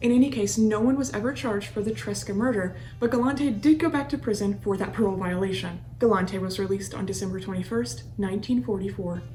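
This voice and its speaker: Very fast speech from a woman at medium pitch, with very wide pitch swings and hardly any pauses, in a room with audible echo and noticeable background noise. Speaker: true crime podcast host. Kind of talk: scripted narration.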